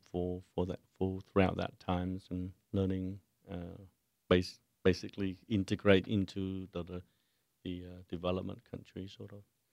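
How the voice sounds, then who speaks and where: A man with a Vietnamese accent speaks at a fairly slow pace. His pitch is very deep and low, and the sound is dry and close with no echo. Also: big swings in loudness. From Vietnam (Saigon). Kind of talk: radio interview. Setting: studio. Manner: halting.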